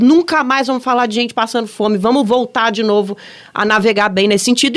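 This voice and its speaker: A woman with an unremarkable speaking voice talks at a fairly quick pace. Her pitch is fairly high, with ordinary variation. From Brasília. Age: 40s. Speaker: podcast host. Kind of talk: casual political chat.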